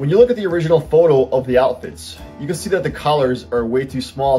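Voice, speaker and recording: Faint music plays behind a man who speaks at a fairly quick pace. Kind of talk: tutorial. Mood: friendly, light humour.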